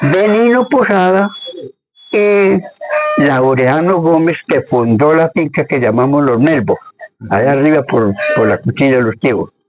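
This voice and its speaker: Over music in the background, the speaker keeps a very even loudness while the pitch swings very widely, moving at a fairly slow pace with long, frequent pauses. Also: man, fairly high pitch for a man. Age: 80s+. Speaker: farmer. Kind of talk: interview answer. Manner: hesitant, halting.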